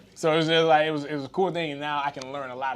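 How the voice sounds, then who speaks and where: This man talks very fast, with noticeable background noise in the clip. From US, Haitian immigrant family. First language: Haitian Creole. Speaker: retired football player. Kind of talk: casual chat. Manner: animated.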